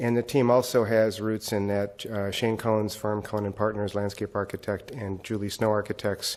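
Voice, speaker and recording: With hardly any pauses, a man talks in a fairly low pitch and a monotone, flat intonation. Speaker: city project manager. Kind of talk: committee presentation. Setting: city council committee meeting. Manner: fast.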